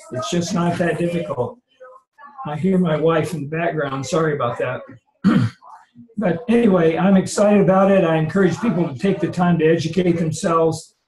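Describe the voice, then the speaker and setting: Audible room echo carries a man's high-pitched voice. He talks at a fairly quick pace with ordinary pitch variation. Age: 70s. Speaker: network marketing participant. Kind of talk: testimony. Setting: video call.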